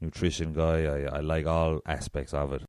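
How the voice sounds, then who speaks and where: Here a man speaks in an Irish accent. His pitch is very deep and low, and his pace is moderate. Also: very clean recording, silent background. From Republic of Ireland, south. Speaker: podcast host. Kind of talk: solo podcast monologue. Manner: casual.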